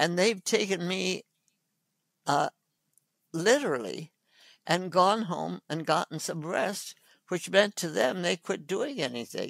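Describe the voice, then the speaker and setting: A woman with a fairly low pitch and vocal fry speaks slowly, with long, frequent pauses yet lively intonation. The recording is very clean, with a silent background and a dry, close sound with no echo. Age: 80s+. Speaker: physician. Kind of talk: interview answer.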